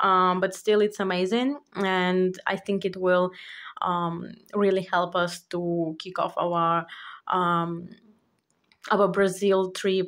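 Against a quiet background, a woman speaks at a very slow pace with monotone, flat intonation. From Ukraine. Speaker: budgeting YouTuber. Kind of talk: casual vlog tutorial. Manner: halting, many fillers. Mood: happy about good news.

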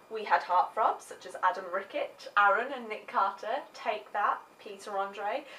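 With an English accent, a woman speaks at a fairly slow pace, showing ordinary pitch variation and big swings in loudness. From England. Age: 20s. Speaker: vlogger. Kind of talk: comedic monologue. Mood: sarcastic, playful complaining. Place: home room. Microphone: webcam.

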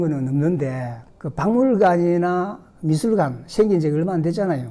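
A man speaks in a high pitch with lively intonation. His pace is very slow. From South Korea, Gyeongsang region (Jinju, lived in Ulsan 45 years); Gyeongsang, South Korea. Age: 60s. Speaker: retired civil servant, senior school student. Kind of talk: recorded interview. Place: studio. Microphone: studio mic.

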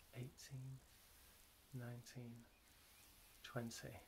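The voice is somewhat breathy and calm, soothing in tone, delivered in a flat monotone at a very slow pace against noticeable background noise. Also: man. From British. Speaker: self-help guide. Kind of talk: guided relaxation how-to instruction. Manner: calm, slow, soothing. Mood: calm, soothing, slow. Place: home room. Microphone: phone near.

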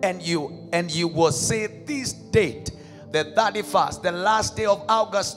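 Over music in the background, a man talks at a fairly slow pace in a raised, projected voice. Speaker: minister leading prayer. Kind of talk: sermon. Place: church. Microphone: handheld.

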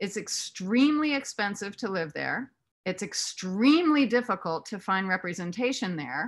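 Her pitch swings very widely as a woman talks at a moderate pace. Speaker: actress and author. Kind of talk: casual chat. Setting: video call. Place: home room. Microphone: video call.

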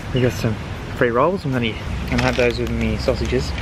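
A man speaks with a dry sound that has no echo. Noticeable background noise runs behind him. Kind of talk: casual vlog chat. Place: street. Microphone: phone near.

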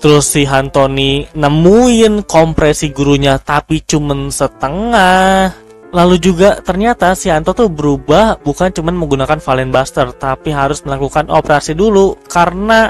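With faint music in the background and a dry sound with no echo, a man talks at a moderate pace with ordinary pitch variation and hardly any pauses. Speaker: reaction video creator. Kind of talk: casual review commentary. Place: home room. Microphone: headset.

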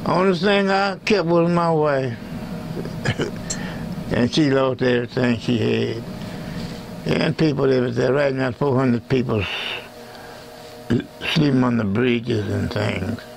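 Noticeable background noise sits behind a man who speaks with long, frequent pauses. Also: medium pitch for a man, fairly slow pace. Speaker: blues pianist. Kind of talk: thank-you message to camera. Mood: grateful, warm. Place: studio. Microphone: lapel.

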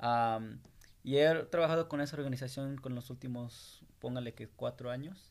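Using fairly even intonation, a man speaks at a moderate pace. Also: medium pitch for a man. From Salt Lake City, Utah (born in Guanajuato, Mexico). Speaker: graffiti artist and business owner. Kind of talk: interview. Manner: hesitant, many fillers. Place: studio. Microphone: studio mic.

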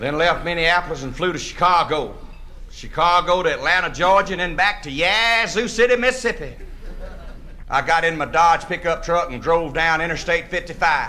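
The pitch varies in an ordinary way. Light background noise can be heard. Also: man, high pitch for a man, moderate pace. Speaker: storyteller comedian. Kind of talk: comic storytelling monologue. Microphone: old recording.

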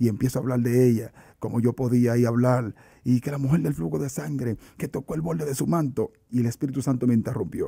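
Against a quiet background, a man talks fairly quickly in a somewhat breathy voice with ordinary pitch variation. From Dominican Republic (San Cristóbal). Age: 30s. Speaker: evangelist preacher. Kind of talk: religious testimony interview. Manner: animated. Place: studio. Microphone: studio mic.

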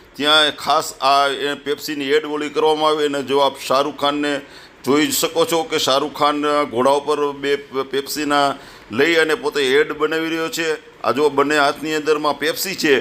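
A man's fairly high, monotone, flat voice against noticeable background noise. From Gujarat, Saurashtra (Dhrangadhra, raised in Wankaner). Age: 60s. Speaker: wildlife and culture photographer. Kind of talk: interview, life story.

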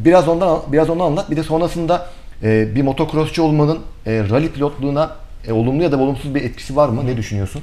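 A man talks at a very fast pace. His voice is fairly high-pitched, with a dark, mellow tone. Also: ordinary pitch variation. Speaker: TV sports show host. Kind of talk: interview. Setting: studio. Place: studio. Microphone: lapel.

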